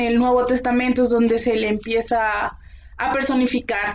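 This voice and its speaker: Fairly slow, high-pitched female speech. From Mexico. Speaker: podcast co-host. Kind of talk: casual history discussion.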